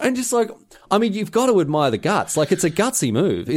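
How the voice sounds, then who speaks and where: With an Australian accent, a man speaks at a fairly quick pace, his high voice swinging very widely in pitch. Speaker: podcast co-host. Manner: animated, rambling storyteller.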